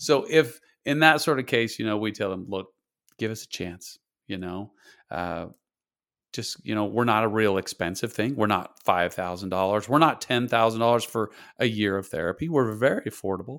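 In a very clean recording with a silent background, a man with an American accent speaks fairly low with ordinary pitch variation. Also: moderate pace. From US, Idaho (rural). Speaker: therapist. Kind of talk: interview.

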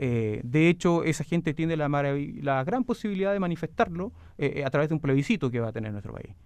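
A man with a fairly high voice talks fairly quickly, his pitch swinging very widely. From southern Chile, Osorno. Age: 40s. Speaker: provincial governor. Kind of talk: radio interview. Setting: radio studio.

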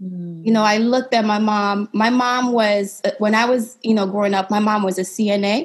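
Somewhat breathy and fairly high in pitch, a woman with an American accent speaks at a fairly slow pace. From Sierra Leone. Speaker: podcast host and entrepreneur. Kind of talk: interview.

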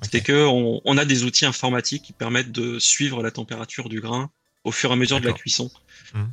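A man talks at a very fast pace in a medium pitch, his intonation monotone and flat. His tone is bright and sharp, with big swings in loudness. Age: 30s. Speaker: aspiring coffee roaster. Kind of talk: interview. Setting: live stream.

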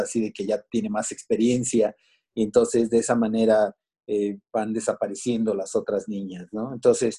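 This man's voice sits fairly low in pitch with a dark, mellow tone. The background is quiet. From Mexico, Veracruz. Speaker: musician and children's author. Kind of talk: interview. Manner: halting, many repetitions and fillers.

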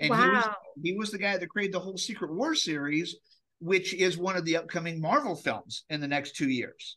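An enthusiastic man talks at a fairly quick pace in a high, bright, sharp voice with ordinary pitch variation. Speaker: comic con organizer, podcast guest. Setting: podcast interview. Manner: fast talker.

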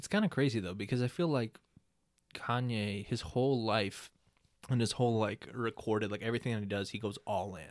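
A man talks at a fairly quick pace with a medium pitch and ordinary pitch variation. He has an ordinary speaking voice. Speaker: podcast host. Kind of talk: casual chat. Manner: playful, jokey.

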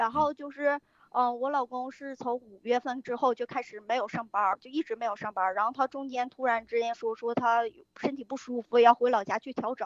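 Dry and close with no echo, a woman's high voice moves at a moderate pace with fairly even intonation. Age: 30s. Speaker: caller seeking marriage advice. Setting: live-stream mic link, phone. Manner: halting, rambling.

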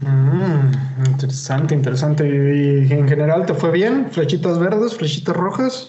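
A somewhat breathy, fairly high-pitched male voice at a fairly slow pace, with hardly any pauses, very even loudness and ordinary pitch variation. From Mexico, Chihuahua. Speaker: podcast host. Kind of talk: casual chat.

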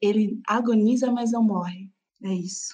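A woman speaks at a fairly slow pace, her voice somewhat breathy. Her tone is dark and mellow, with a fairly high pitch. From Brazil, São Paulo ABC region. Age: 20s. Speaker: podcaster. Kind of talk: interview.

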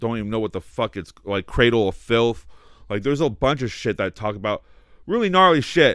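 In a very clean recording with a silent background, a man of medium pitch talks at a moderate pace with lively intonation. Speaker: guest. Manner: passionate, emotional.

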